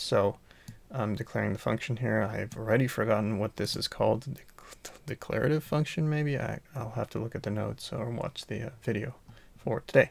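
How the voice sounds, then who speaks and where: A soft-spoken man talks at a moderate pace. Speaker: coding student. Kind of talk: tutorial. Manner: quiet, soft-spoken; halting with fillers.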